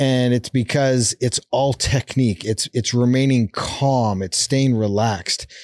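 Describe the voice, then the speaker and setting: Recorded very cleanly against a silent background, a man talks in a plain, everyday voice at medium pitch with fairly even intonation and hardly any pauses, the sound dry and close with no echo. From Canada, Calgary, Alberta. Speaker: endurance athlete and motivational speaker. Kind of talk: interview conversation.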